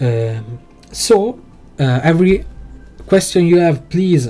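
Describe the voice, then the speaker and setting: Over music in the background, a man with a non-native accent talks at a very slow pace. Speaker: video game tutorial creator. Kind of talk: tutorial. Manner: halting, many fillers.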